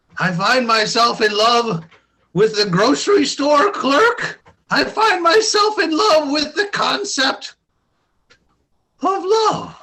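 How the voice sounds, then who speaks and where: A man's put-on character voice, extremely high and swinging very widely in pitch, at a fairly slow pace with long, frequent pauses. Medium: comedy sketch. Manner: chipper, friendly.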